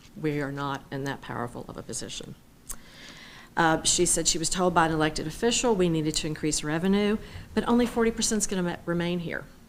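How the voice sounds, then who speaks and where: There is audible room echo as a woman speaks at a very fast pace. Her pitch is fairly low and her intonation lively. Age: 60s. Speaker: public commenter at city council. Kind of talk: public comment speech. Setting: city council meeting.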